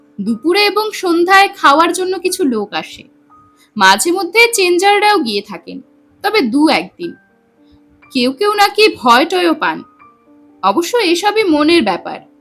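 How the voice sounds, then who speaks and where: With music in the background, a woman's extremely high voice shows very wide pitch swings and big swings in loudness. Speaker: storyteller. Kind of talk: audio story narration.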